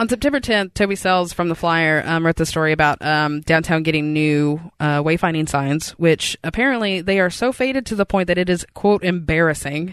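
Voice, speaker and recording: A woman with an American accent has an unremarkable speaking voice, fairly low pitched, with ordinary pitch variation and very even loudness. She talks at a fairly quick pace with hardly any pauses over a quiet background. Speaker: podcast co-host, journalist. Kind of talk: casual chat.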